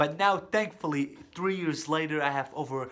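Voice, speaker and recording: At a moderate pace, a man talks in a fairly high voice with ordinary pitch variation. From Kurdistan, moved to US at age 8. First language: Kurdish. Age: 20s. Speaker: social media comedian. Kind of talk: presentation speech. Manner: hesitant with fillers.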